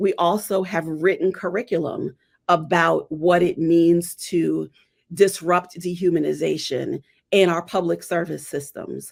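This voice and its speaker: A woman talks at a fairly slow pace with a fairly low pitch and vocal fry. The recording is very clean, with a silent background. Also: fairly even intonation. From Trinidad and Tobago. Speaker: social justice consultant. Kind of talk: interview answer.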